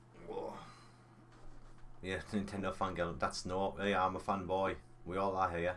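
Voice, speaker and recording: With long, frequent pauses, a man speaks at a fairly slow pace in a very deep, low voice and a monotone, flat intonation. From North East England, County Durham. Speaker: gaming live streamer. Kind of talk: casual live-stream chat while gaming. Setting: live stream.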